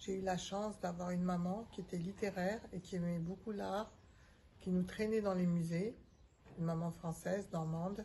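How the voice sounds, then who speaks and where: A woman speaks at a fairly slow pace with a medium pitch in a dark, mellow tone. Her voice is somewhat breathy and her intonation monotone and flat. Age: 70s. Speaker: retired organisational development consultant. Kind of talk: interview. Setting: outdoors on a terrace. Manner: hesitant, many filler sounds.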